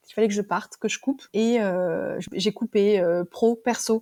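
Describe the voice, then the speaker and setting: A woman's fairly high voice, fairly quick, with ordinary pitch variation and a dry, close sound free of echo. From France, Ardèche countryside. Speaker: wellbeing coach, former manager. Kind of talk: interview testimony. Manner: fast; halting, many fillers.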